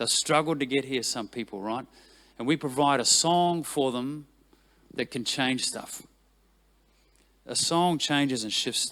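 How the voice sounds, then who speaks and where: A man with a New Zealand accent speaks at a fairly slow pace, pausing long and often. His pitch is fairly high and moves with ordinary variation. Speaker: worship leader. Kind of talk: talk to church team. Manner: animated, conversational.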